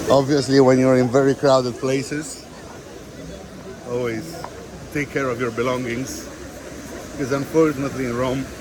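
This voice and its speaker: Audible room echo and noticeable background noise surround a man speaking at a medium pitch. His intonation is fairly even, with long, frequent pauses. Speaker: travel vlogger. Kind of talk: walking tour vlog. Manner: fast.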